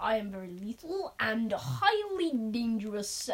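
A woman uses a put-on character voice at a fairly high pitch. She goes at a fairly slow pace over light background noise. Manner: menacing.

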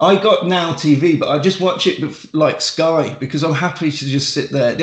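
A man's fairly high voice moves at a fairly slow pace against noticeable background noise. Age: 40s. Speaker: wrestler and podcaster. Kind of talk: casual chat.

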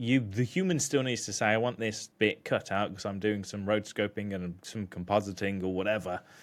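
At a fairly quick pace with hardly any pauses, a man with a British accent speaks in a fairly low pitch and fairly even intonation, in a very clean recording with a silent background. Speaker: podcast co-host and video editor. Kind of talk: casual chat. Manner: joking, laid-back.

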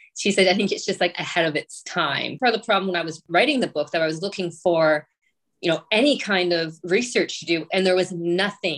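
A woman talks in a plain, everyday voice at medium pitch and a fairly quick pace. Her pitch varies in an ordinary way on a very clean recording with a silent background. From rural Ontario, Canada. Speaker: author and editor. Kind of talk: casual interview.

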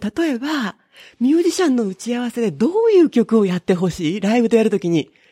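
With a dark, mellow tone, a woman speaks in very wide pitch swings, the sound dry and close with no echo. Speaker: butoh dancer and software developer. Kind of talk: interview. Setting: at home.

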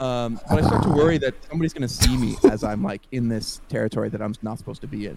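Barely pausing, a man talks at a very fast pace and medium pitch with ordinary pitch variation, over noticeable background noise. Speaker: podcast co-host. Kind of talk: casual storytelling chat. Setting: podcast recording. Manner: loud.

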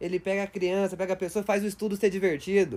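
Talking at a very fast pace, a man with a high pitch keeps a monotone, flat intonation. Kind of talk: stand-up comedy, improvised banter and jokes.

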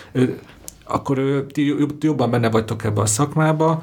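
A man in a normal speaking voice at a fairly quick pace, with ordinary pitch variation. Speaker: podcast host. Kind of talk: panel discussion. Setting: studio.

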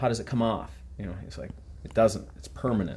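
A man with an Upper Midwest accent talks at a moderate pace with ordinary pitch variation. His voice carries vocal fry. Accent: Upper Midwest American. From Minnesota. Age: 30s. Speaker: tattoo artist, podcast co-host. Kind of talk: casual chat.

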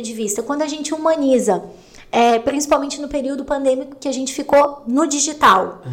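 A woman's high voice with fairly even intonation, against noticeable background noise. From Santa Catarina highlands, Brazil. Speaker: podcast co-host. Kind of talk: casual chat.

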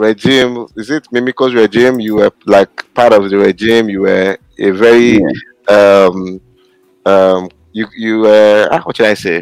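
A man's fairly low voice with a Nigerian accent, ordinary pitch variation and a fairly slow pace, in a dry, close sound with no echo. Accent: Nigerian (Yoruba) English. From Nigeria, Osun State. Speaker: podcast co-host. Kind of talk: panel discussion.

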